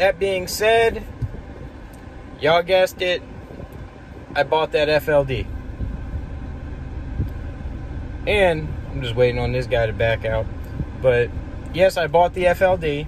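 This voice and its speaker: Very slow and marked by long, frequent pauses, a man's speech comes through with a dry sound, no echo and light background noise. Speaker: trucker vlogger. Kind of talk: casual vlog chat. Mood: frustrated then relaxed. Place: car.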